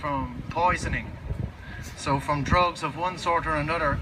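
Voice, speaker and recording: A man with a Dublin accent speaks at a moderate pace and a fairly high pitch, with ordinary pitch variation. Noticeable background noise runs under his voice. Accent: Dublin Irish. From Ireland, Dublin. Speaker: drug user representative, activist. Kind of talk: speech at memorial event. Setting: public event with audience, Copenhagen. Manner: halting, many fillers.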